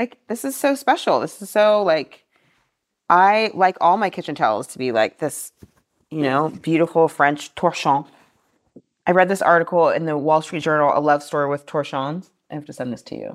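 At a moderate pace, the voice carries lively intonation on a very clean recording with a silent background. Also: woman, very deep, low pitch for a woman. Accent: American. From Austin, Texas. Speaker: author and antiques business owner. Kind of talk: casual chat.

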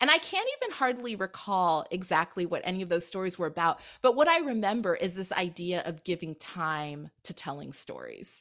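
A woman with a General American accent speaks in a plain, everyday voice at medium pitch and a moderate pace, with lively intonation. She hardly pauses, and the recording is very clean with a silent background. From Anchorage, Alaska. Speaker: author and essayist. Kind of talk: casual interview.

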